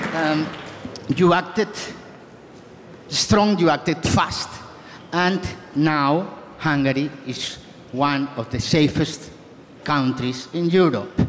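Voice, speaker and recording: A man with a Spanish accent and a fairly high pitch speaks at a very slow pace with long, frequent pauses. Noticeable background noise runs underneath. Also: ordinary pitch variation. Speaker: politician. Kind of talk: panel discussion.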